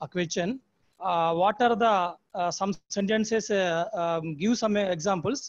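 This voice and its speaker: A man with a Telugu accent and a high pitch talks with ordinary pitch variation over a quiet background. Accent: Telugu-accented Indian English. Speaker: teacher concluding the session. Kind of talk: formal concluding remarks. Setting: video call. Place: home room. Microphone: earbuds.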